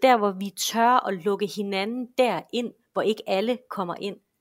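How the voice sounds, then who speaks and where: A woman with a normal speaking voice talks at a fairly slow pace and fairly high pitch, with ordinary pitch variation, in a very clean recording with a silent background. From western Denmark, Esbjerg. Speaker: enneagram expert. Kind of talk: podcast interview.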